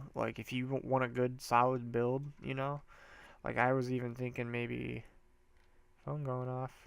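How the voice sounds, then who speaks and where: A man's medium-pitched, monotone, flat delivery, broken by long, frequent pauses. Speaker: gaming YouTuber. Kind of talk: casual gameplay tutorial commentary. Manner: casual, halting with fillers.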